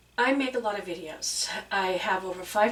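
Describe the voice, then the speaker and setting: Noticeable background noise runs through the clip. A woman talks, her pitch varying in an ordinary way. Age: 60s. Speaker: YouTube creator. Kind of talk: casual chat.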